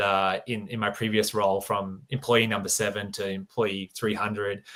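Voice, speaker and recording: At a moderate pace, a man with a bright, sharp tone speaks at a fairly low pitch with fairly even intonation. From Australia. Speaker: business operations manager. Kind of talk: interview.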